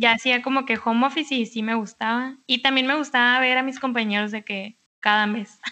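Speaking at a fairly quick pace, a woman has a high pitch and a bright, sharp tone. Her intonation stays fairly even over a quiet background. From Mexicali, Baja California, Mexico. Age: 20s. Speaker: architect. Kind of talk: casual chat.

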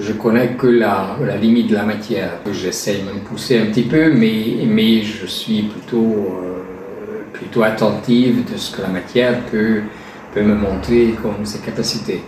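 Amid noticeable background noise and audible room echo, a man with a Hungarian accent speaks at a very slow pace, his fairly low pitch held to a fairly even intonation. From Hungary. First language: Hungarian (speaking French). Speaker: artisan gilder. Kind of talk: interview. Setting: gallery showroom. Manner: halting.

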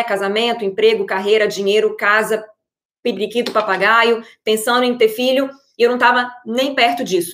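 The woman's voice is fairly high in pitch, with fairly even intonation. She keeps a moderate pace. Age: 30s. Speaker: online coach for married women. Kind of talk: live stream talk. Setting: live video stream. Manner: hesitant, many fillers.

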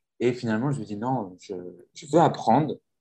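A man talks at a medium pitch with ordinary pitch variation. His tone is dark and mellow. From rural France. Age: 20s. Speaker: podcast host and French teacher. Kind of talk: casual chat.

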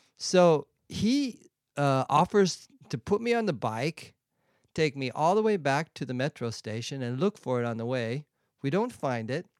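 With an American accent, a man speaks at a fairly slow pace with very wide pitch swings, the sound dry and close without echo. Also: fairly high pitch for a man. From San Diego, California. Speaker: clown, mime and improv performer. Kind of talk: casual chat. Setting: studio.

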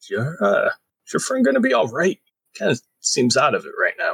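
A man does a raspy, put-on character voice at a fairly quick pace. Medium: actual play. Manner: hesitant, fumbling.

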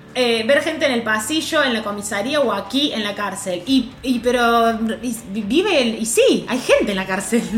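Music plays in the background as a woman with a fairly high pitch speaks at a moderate pace amid audible room echo. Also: ordinary pitch variation. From Córdoba, Argentina. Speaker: podcast co-host, news correspondent. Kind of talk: casual comedic chat, reading news aloud with commentary. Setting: in person with host, in Rosario.

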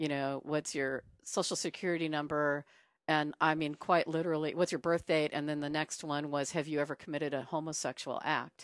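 A woman speaks at a fairly quick pace with very deep, low pitch and monotone, flat intonation. The sound is dry and close with no echo, over a quiet background. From US, military kid (Sacramento, South Dakota). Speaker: airline pilot. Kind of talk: casual conversation interview.

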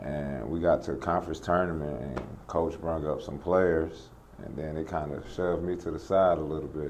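This man's voice is very deep and low, with fairly even intonation at a moderate pace. Room echo can be heard. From North Carolina, Lexington. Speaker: former pro basketball player and trainer. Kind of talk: casual interview. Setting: new basketball training facility.

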